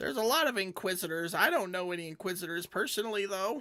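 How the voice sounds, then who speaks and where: In a put-on character voice, the speaker rattles along at a very fast pace and middle pitch. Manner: suspicious, hesitant.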